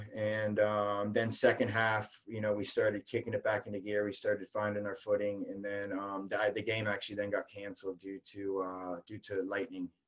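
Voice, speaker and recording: A man speaks in a fairly low voice with an American accent, his intonation flat and monotone. He barely pauses at all. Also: moderate pace. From US South, St. Petersburg, Florida. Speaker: amateur american football player. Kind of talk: interview. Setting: live online show.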